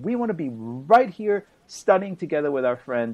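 Lively intonation from a man, delivered at a moderate pace. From Israel. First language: Hebrew. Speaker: journalist and author; guest commentator. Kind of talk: interview. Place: home room. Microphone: video call.

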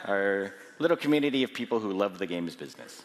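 A man with an unremarkable speaking voice, fairly low pitch and ordinary pitch variation. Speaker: conference organizer and journalist; journalist. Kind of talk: closing remarks and announcements. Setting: stage with audience. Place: hall. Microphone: headset.

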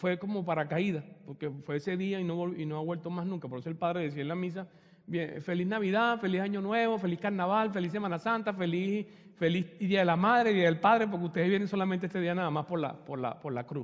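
A man talks at a very fast pace in a high voice. His tone is animated. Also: ordinary pitch variation, quiet background. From Venezuela, Margarita Island. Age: 50s. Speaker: retreat speaker. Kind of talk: spiritual talk with personal testimony. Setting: church hall with audience. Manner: halting. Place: church. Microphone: handheld.

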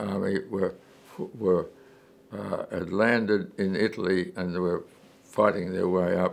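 This man's pitch sits fairly low. His intonation stays fairly even. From Australia. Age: 80s+. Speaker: war veteran. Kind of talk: interview answer. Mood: calm reminiscing, many hesitations. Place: home room. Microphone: lapel.

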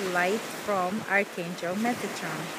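A woman speaks at a fairly slow pace in a soothing tone. There is loud background noise, and the sound is dry with no echo. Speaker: spiritual healer. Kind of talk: guided angel-healing meditation with invocations over ocean waves. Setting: ocean waves audible in background. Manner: slow, soothing, gently instructive pacing; reverent, incantatory tone calling on archangels. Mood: calm, soothing. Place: beach. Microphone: phone near.

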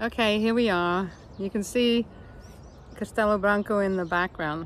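A woman talks at a moderate pace with ordinary pitch variation. The sound is dry with no echo, over light background noise. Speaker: travel vlogger. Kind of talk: casual vlog chat. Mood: cheerful, relaxed. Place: open country. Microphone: phone near.

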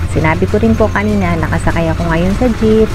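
Music plays behind a woman as she talks. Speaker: vlogger. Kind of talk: casual vlog chat. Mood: cheerful. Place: bus. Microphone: phone near.

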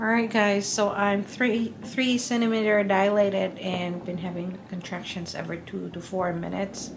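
Against noticeable background noise, a woman speaks somewhat breathily with fairly even intonation. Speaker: vlogger in labor. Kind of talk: casual vlog chat. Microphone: phone near.

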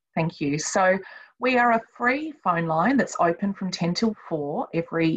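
The voice is somewhat breathy, with lively intonation. The background is quiet. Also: woman. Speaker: service team leader presenter. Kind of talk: webinar presentation. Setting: video call webinar. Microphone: webcam.

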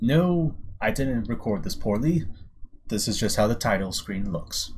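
A man talks at a fairly slow pace and a medium pitch. His voice is somewhat breathy, with very wide pitch swings. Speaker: gaming let's play host. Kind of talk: casual let's play commentary.

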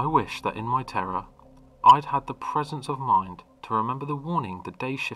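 A man talks at a moderate speed while music plays behind him. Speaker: creepypasta narrator. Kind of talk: ghost story telling.

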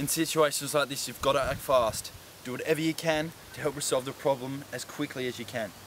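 Over light background noise, a man talks fairly quickly with fairly even intonation and a dry sound with no echo. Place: forest. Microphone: camera far.

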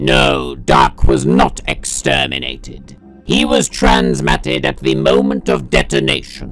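A raspy man talks at a fairly slow pace. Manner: calculating, logical.

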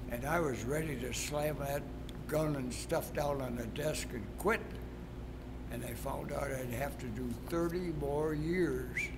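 At a fairly slow pace, a male speaker talks through noticeable background noise. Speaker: retired track coach. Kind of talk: interview answer. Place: gym.

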